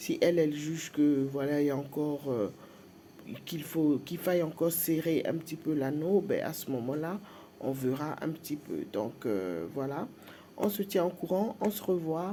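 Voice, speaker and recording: A woman's very deep, low-pitched voice with a dark, mellow tone, ordinary pitch variation and a fairly slow pace. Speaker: vlogger. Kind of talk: personal vlog. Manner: hesitant, many fillers.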